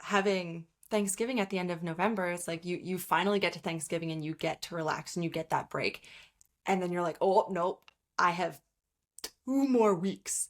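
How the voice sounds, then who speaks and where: A woman with a Canadian accent and a normal speaking voice talks at a moderate pace and a fairly low pitch, in a very clean recording with a silent background. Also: ordinary pitch variation. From Canada. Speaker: trumpet player and podcast co-host. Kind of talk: casual chat.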